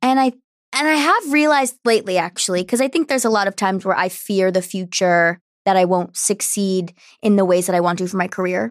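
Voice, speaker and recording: A woman with an American accent uses an unremarkable speaking voice at a medium pitch with lively intonation. The sound is dry and close with no echo, on a very clean recording with a silent background. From New Jersey, US. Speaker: alternative singer-songwriter. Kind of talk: casual interview.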